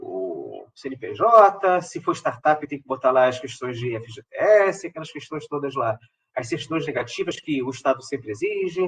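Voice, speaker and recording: This man's voice sits fairly high and is somewhat breathy, with lively intonation. His loudness swings widely. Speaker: professor giving a funding-call workshop. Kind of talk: online tutorial / workshop presentation. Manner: not fast, measured.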